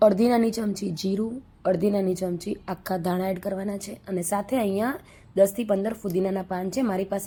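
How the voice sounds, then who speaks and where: Her voice somewhat breathy, a woman speaks with fairly even intonation. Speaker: cooking channel host. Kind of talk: cooking tutorial.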